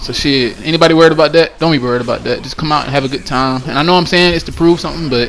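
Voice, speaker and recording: Through noticeable background noise, a man with a fairly high voice talks at a very fast pace. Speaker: gaming community organizer. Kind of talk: casual vlog announcement. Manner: loud; animated.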